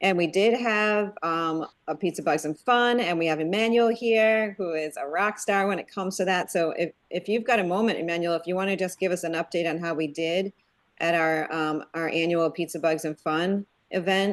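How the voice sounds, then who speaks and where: A woman speaks at a moderate pace in a fairly low pitch with ordinary pitch variation, against a quiet background. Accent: northeastern US. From Connecticut, northeastern US. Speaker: web developer, user group organizer. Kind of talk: casual online meeting chat. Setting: video call.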